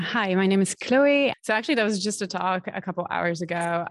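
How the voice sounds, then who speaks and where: With a French accent, a woman talks at a fairly quick pace in a very clean recording with a silent background. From France. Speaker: postdoctoral researcher. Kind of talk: conference interview.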